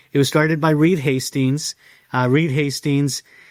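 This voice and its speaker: In a very clean recording with a silent background, a man speaks at a fairly high pitch with a Californian accent. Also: dry, close sound with no echo. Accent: Californian American English. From East San Jose, California. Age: 50s. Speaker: business founder and leadership speaker. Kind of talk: interview conversation.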